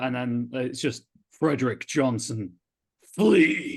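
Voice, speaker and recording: A man uses a booming, put-on character voice at medium pitch. He goes at a very slow pace. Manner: calling, commanding, booming.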